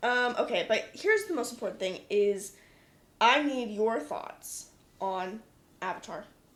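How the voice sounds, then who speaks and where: Someone with an American accent talks at a fairly slow pace in an animated tone, using lively intonation and long, frequent pauses. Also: woman, fairly high pitch for a woman. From United States. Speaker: podcast host. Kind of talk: casual chat.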